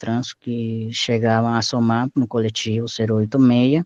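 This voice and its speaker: Dry, close sound with no echo from a man with a Spanish accent, medium in pitch and moderate in pace. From Mexico, Acapulco. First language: Spanish (speaking Portuguese). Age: 30s. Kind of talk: oral history interview. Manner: halting, with self-corrections.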